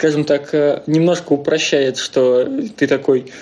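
A man talks at a fairly high pitch. Noticeable background noise runs behind him. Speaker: scientist. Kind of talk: casual chat.

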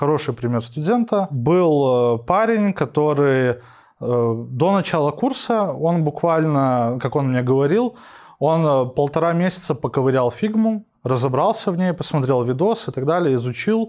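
A man speaks with an unremarkable speaking voice, fairly high in pitch and at a fairly slow pace. His intonation is lively, his loudness very even, and the background quiet. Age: 20s. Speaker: UX/UI designer and instructor. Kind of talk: casual interview.

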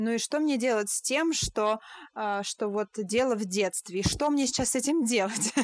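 A woman speaks with a normal speaking voice at a fairly high pitch and a moderate pace. Her pitch varies in an ordinary way, and the sound is dry and close with no echo. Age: 20s. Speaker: podcast host, German teacher. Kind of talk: casual interview chat. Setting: remote call.

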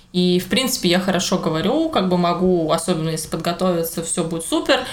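Noticeable background noise sits behind a woman's voice. She talks at a fairly quick pace at medium pitch. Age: 20s. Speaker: podcast co-host, illustrator and teacher. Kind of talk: casual chat. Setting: home kitchen.

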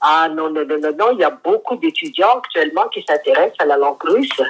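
A woman's voice moves in very wide pitch swings. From Madagascar. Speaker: retired university lecturer. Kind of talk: interview. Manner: hesitant.

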